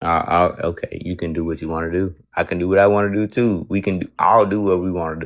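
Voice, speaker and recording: A man talks with a Southern US accent in a very deep, low voice. He goes at a very fast pace with hardly any pauses. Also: fairly even intonation. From US South. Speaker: caller on a debate stream. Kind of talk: religious debate. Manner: halting, repeats words often.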